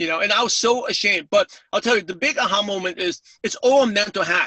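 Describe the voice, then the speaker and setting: A high-pitched man with a New York accent talks at a fairly quick pace. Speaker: network marketing speaker. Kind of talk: webinar interview. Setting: call. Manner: fast.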